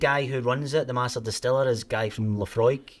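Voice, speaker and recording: Fairly quick speech in a Scottish accent. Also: man. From Scotland, Ayrshire. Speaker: company CEO. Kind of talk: casual chat.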